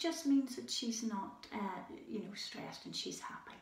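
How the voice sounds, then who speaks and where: Speaking with a Scottish accent, a woman talks at a fairly high pitch and fairly slow pace over noticeable background noise. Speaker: children's animal show presenter. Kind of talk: educational talk for children. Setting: indoors with animals at night. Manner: hesitant with fillers; soft-spoken, lowered voice.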